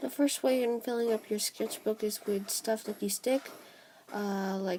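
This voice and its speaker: A woman talks at a fairly slow speed while noticeable background noise runs underneath. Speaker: artist youtuber. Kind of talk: casual tutorial while drawing. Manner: hesitant, many fillers.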